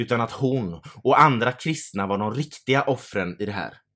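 Recorded very cleanly against a silent background, a man talks at medium pitch and a moderate pace. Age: 30s. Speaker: podcast co-host. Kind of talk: casual chat. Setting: home studio.

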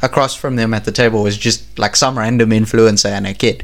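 A man with a plain, everyday voice, medium pitch, fairly even intonation, and a moderate pace. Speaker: podcast co-host.

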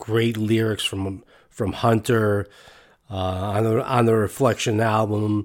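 A man speaks very slowly in a fairly low, flat monotone at very even loudness. The recording is very clean, with a silent background. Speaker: podcast host. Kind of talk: solo podcast commentary. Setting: studio. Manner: halting.

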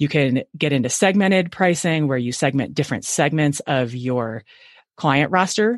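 Against a quiet background, a woman talks at a moderate pace. Her pitch is very deep and low, and her intonation lively. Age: 40s. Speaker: consultant for CPA firms. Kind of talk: interview.

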